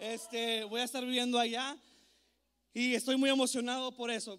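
A man speaks in an animated tone at an extremely high pitch. The background is quiet. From El Paso, Texas (US-Mexico border), born in Ciudad Juárez. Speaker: youth pastor / conference speaker. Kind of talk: sermon. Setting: stage with audience. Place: church. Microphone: handheld.

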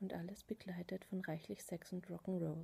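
Soft-spoken, a woman has a gentle tone. Her voice also carries a dark, mellow tone. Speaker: soft-spoken video host. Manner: soft-spoken gentle ASMR reading. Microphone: webcam.

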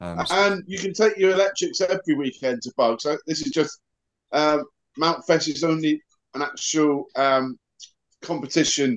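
The voice, with a Cornish accent, moves at a moderate pace with ordinary pitch variation against a quiet background. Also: man. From Cornwall. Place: home room. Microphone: video call.

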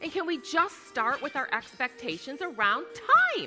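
A woman's raised, projected, high-pitched voice at a fairly slow pace, upbeat and energetic in tone with very wide pitch swings, over clear music in the background. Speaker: keynote speaker. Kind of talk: keynote speech excerpts in a promo reel. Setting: live keynote on stage to an audience. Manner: upbeat, energetic, humorous. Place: stage. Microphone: headset.

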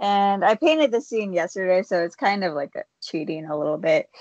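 A woman is heard with a dry sound, no echo, and a quiet background. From Michigan. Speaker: painter; podcast host. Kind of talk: casual chat. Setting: video call. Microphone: video call.

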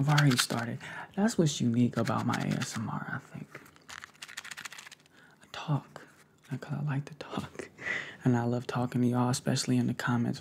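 A soft-spoken man at a fairly quick pace, with fairly even intonation over light background noise. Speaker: ASMR creator. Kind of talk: casual vlog chat. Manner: soft close-mic ASMR voice. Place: home room. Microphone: studio mic.

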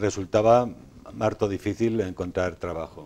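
A dark, mellow tone delivered in monotone, flat intonation. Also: man. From Spain, Sanabria (Zamora); Spain. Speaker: self-published author; interview guest. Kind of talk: TV interview. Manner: halting, many repetitions. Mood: calm, reflective. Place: studio. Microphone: lapel.

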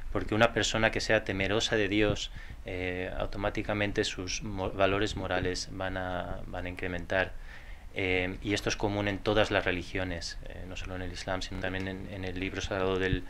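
A man speaks at a very fast pace in a very deep, low voice. His intonation is monotone and flat, with light background noise behind him. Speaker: interpreter. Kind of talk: consecutive interpreting. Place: hall.

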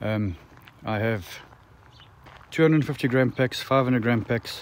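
Over noticeable background noise, a man talks at a moderate pace in a dry sound with no echo. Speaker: road-trip vlogger selling dried fruit. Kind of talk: casual vlog chat. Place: open country. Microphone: phone near.

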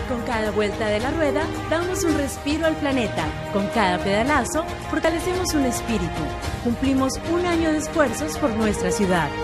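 Loud music plays in the background. A woman speaks at a moderate pace. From Colombia. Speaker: voice actor. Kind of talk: TV commercial read. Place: studio. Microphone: studio mic.

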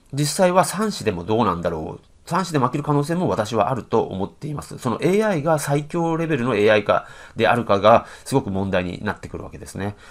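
A man at a medium pitch and fairly quick pace, with vocal fry, very wide pitch swings and big swings in loudness, over a quiet background. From Japan. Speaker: professional go player and commentator; commentator. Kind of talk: game commentary. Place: home room. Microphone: webcam.

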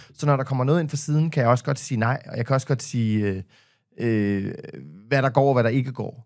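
A man's medium-pitched voice at a fairly quick pace, with ordinary pitch variation and a quiet background. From Denmark. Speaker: podcaster and media personality; podcaster. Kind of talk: casual chat. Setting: studio. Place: studio. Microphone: studio mic.

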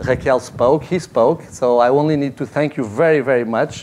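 Here a man speaks with a Portuguese accent. His pace is moderate, with ordinary pitch variation. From Portugal. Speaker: foundation executive; speaker. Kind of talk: panel talk. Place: hall. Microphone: podium.

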